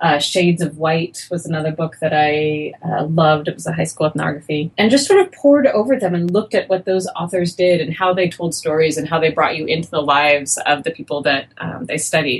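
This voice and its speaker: With an unremarkable speaking voice, a woman talks at a fairly quick pace in a fairly low pitch, with ordinary pitch variation and hardly any pauses. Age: 40s. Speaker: sociology professor. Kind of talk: interview.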